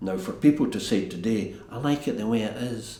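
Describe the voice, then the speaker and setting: This man speaks in a Scottish accent at a moderate pace. His medium pitch moves with lively intonation. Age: 70s. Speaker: castle custodian. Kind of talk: documentary interview answer.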